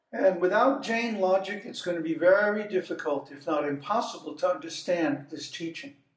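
A man speaks with audible echo from the room. The background is quiet. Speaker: spiritual teacher. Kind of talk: lecture. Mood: relaxed, humorous. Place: home room. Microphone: phone near.

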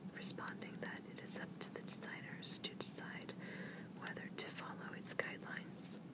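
A soft-spoken whisper at a fairly slow pace, set against loud background noise. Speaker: vlogger reading news. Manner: soft whispered reading of news text. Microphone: phone near.

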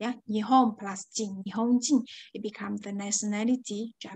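Against a quiet background, a somewhat breathy woman with a fairly high pitch talks at a moderate pace with fairly even intonation. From China. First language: Chinese. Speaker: Japanese language teacher. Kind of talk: lecture. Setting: online class. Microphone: webcam.

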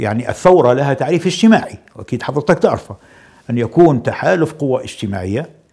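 A man's dark, mellow voice with vocal fry and very wide pitch swings, at a moderate pace over a quiet background. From Libya. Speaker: politician. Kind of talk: interview. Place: studio. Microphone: lapel.

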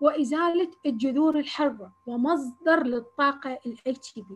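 A woman speaks with a high-pitched voice and ordinary pitch variation. Light background noise is present. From Iraq, Basra; Iraq. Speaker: agricultural researcher; lecturer presenting research. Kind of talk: lecture. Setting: video call. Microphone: video call.

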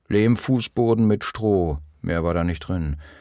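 At a very slow pace, a man with a very deep, low pitch speaks with lively intonation. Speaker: audiobook narrator. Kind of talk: audiobook reading of memoir, first-person recollection. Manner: somber, reflective.

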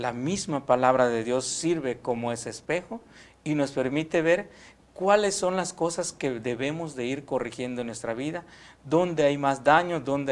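A man with a fairly high pitch speaks at a moderate pace with ordinary pitch variation. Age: young. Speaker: seminarian. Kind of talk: religious teaching. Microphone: lapel.

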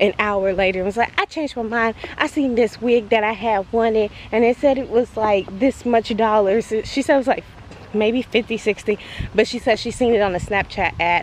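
The voice moves at a moderate pace with fairly even intonation, in a dry sound with no echo and light background noise. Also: woman. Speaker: vlogger. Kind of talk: casual vlog chat. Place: open country. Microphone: phone near.

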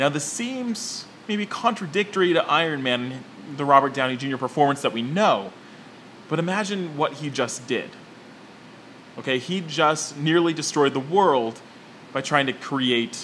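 A man talks at a moderate pace with lively intonation and long, frequent pauses. Light background noise is audible. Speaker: movie commentator. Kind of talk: commentary. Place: office.

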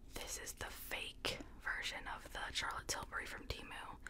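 A soft-spoken, whispering voice at a fairly slow pace. Background noise is noticeable. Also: woman. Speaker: beauty creator. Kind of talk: casual makeup review chat. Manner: soft close-mic whisper. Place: home room. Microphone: studio mic.

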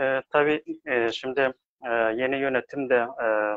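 The intonation stays fairly even. The sound is dry with no echo, over a quiet background. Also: man. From Afghanistan. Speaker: aid worker; interview guest. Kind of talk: live online discussion. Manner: halting. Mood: calm, measured. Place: home room. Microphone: video call.

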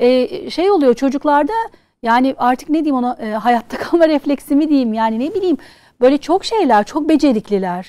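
Over a quiet background, a woman's pitch swings very widely. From Turkey (born in Switzerland, moved at seven). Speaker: charity founder; talk show guest. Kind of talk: casual chat. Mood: warm, lively storytelling. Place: studio.

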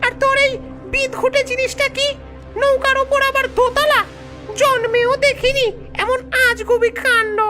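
Clear music plays behind a cartoonish character voice, wheezy and hissing. The pace is moderate. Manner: gruff, bossy, rustic.

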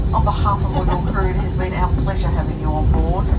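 Fairly quick speech over loud background noise. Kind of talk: in-flight arrival announcement. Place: plane. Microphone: pa.

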